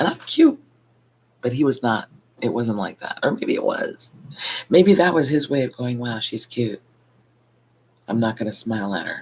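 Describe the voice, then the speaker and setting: A soft-spoken woman talks. She leaves long, frequent pauses. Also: moderate pace. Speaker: vlogger. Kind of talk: casual monologue vlog. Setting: at home at night. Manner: soft-spoken, keeping voice low.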